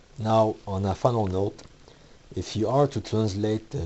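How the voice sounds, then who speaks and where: Delivered in a Quebec accent, the speech goes at a fairly slow pace with fairly even intonation. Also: man. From Quebec, Canada. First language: French. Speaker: comic book author and creator. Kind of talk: video essay / tutorial talk. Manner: some hesitations and restarts.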